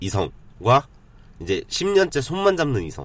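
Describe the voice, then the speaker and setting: The man's pitch swings very widely. His delivery is fairly slow. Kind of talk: casual chat.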